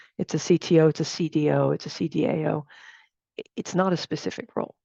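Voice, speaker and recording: A woman's very deep, low voice with an American accent, a dark, mellow tone, vocal fry and lively intonation. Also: dry, close sound with no echo. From United States. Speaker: technology executive and workshop speaker. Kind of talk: workshop talk. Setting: video call.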